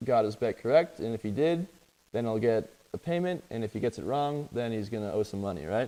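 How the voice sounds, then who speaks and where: Medium pitch and a dark, mellow tone in a man's voice. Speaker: coding teacher. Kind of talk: lecture.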